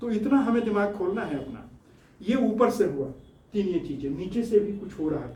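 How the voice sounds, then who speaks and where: Noticeable background noise and audible room echo surround a man speaking at a high pitch with lively intonation. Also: moderate pace. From Bihar, India (village). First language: Bhojpuri (speaking Hindi). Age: 70s. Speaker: scientist and social-political activist. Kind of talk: studio interview talk. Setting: studio.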